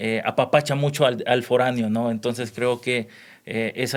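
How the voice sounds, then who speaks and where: His intonation holds fairly even. The voice belongs to a man. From El Salvador. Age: 30s. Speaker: neuropsychologist. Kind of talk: podcast interview. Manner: hesitant, many fillers.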